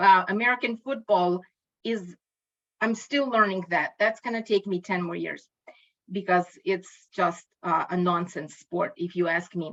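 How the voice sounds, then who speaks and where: Speaking at a fairly slow pace, a woman with a Ukrainian accent shows ordinary pitch variation. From Ukraine. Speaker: linguistics educator. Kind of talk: lecture. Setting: video call. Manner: halting.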